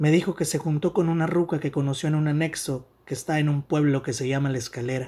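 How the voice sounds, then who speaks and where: Fairly quick, somewhat breathy speech from a man, fairly high in pitch with fairly even intonation and a dark, mellow tone. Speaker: writer. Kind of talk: reading aloud.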